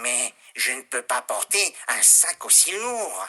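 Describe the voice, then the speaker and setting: A man speaks at a fairly slow pace in a put-on character voice. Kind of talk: children's story. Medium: read story.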